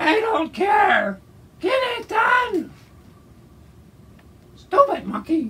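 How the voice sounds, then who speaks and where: A man shouting in a cartoonish character voice, extremely high in pitch, at a very slow pace with long, frequent pauses. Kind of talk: comic overacting. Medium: puppet show. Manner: angry, shouting, impatient.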